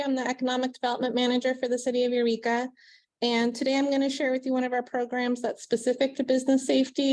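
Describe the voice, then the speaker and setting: Someone soft-spoken talks at a very fast pace against a quiet background. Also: woman. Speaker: city economic development manager. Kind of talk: presentation.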